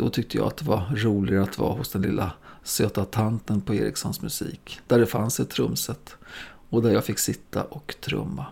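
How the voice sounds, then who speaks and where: This man's fairly low voice has vocal fry and a dark, mellow tone. He talks at a moderate pace with very wide pitch swings. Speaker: podcast host, drummer. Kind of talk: scripted narration.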